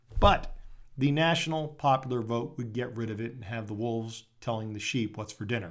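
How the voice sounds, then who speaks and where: There are big swings in loudness as a man talks at medium pitch. He keeps a moderate pace with ordinary pitch variation. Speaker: conservative talk radio host. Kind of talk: talk radio monologue and interview. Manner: sarcastic.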